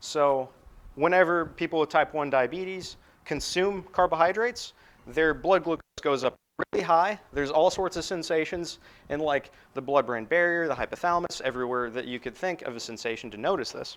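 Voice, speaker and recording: A plain, everyday voice delivered at a fairly quick pace. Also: man, fairly high pitch for a man, ordinary pitch variation. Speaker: university lecturer. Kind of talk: lecture. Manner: casual, filler-heavy.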